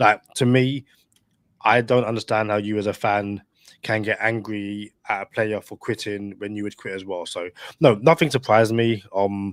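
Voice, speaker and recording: A man with a British accent talks at a fairly low pitch in a dry, close sound with no echo. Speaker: podcast co-host, sports fan guest. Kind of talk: casual chat.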